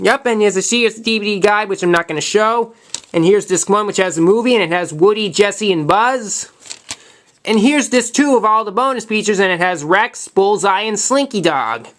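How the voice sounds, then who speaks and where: Fairly quick pace with ordinary pitch variation, noticeable background noise throughout. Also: man, high pitch for a man. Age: 20s. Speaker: YouTuber showing his collection. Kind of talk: casual collection show-and-tell video. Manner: fast; halting, repeats words.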